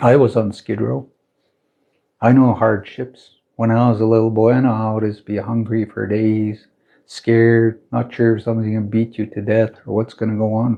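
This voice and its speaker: A man talks at a moderate pace in a medium pitch. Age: 60s. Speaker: spiritual teacher. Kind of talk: livestream talk. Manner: animated.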